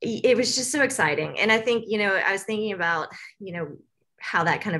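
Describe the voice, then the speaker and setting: A woman with an American accent talks at a very fast pace with ordinary pitch variation. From US South, Tennessee. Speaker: university social worker. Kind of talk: casual interview chat.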